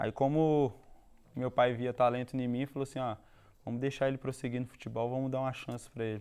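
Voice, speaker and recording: With a dark, mellow tone and monotone, flat intonation, the voice moves at a fairly quick pace on a very clean recording with a silent background. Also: man, medium pitch for a man. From Minas Gerais, Belo Horizonte. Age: young. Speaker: football player. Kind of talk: TV interview.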